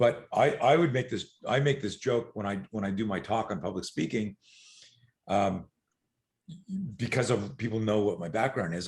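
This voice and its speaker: Against a quiet background, a man with a fairly low, somewhat breathy voice talks at a moderate pace with ordinary pitch variation. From eastern Canada. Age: 60s. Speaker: self-defense and fear management coach. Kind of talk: podcast interview. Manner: animated.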